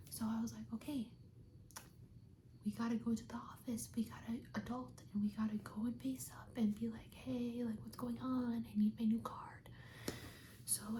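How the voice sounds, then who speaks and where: With an American accent, this speaker talks at a moderate pace over noticeable background noise. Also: woman. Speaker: ASMR creator. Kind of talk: ASMR roleplay, soft speaking, casual chat to camera. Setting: video chat roleplay with lo-fi music in background. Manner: soft-spoken, whispering.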